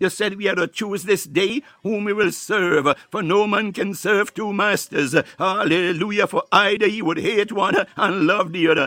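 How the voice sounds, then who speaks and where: Over noticeable background noise, a man speaks in a raised, projected, high-pitched voice at a moderate pace, with fairly even intonation and hardly any pauses. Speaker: prayer leader. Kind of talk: fervent prayer with speaking in tongues, devotional. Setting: online live prayer broadcast. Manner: fervent, rhythmic, pleading, repetitive.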